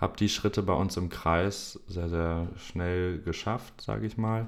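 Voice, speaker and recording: A man speaks in a very deep, low pitch, his intonation fairly even. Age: 20s. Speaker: football referee. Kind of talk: interview.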